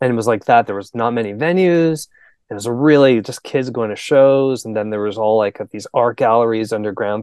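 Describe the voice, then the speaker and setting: With a Canadian accent, a man speaks at a moderate pace and medium pitch. He has a plain, everyday voice. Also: dry, close sound with no echo. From Canada. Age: 40s. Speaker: musician. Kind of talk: casual chat.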